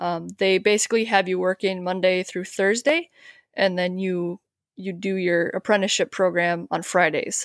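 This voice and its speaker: In a slight Upper Midwest accent, a woman speaks at a moderate pace with medium pitch and fairly even intonation, the sound dry and close with no echo. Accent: Upper Midwest, likened to Canadian, slight. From Wisconsin, near the Twin Cities. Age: 30s. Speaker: HVAC maintenance technician. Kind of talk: casual interview chat. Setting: remote podcast call.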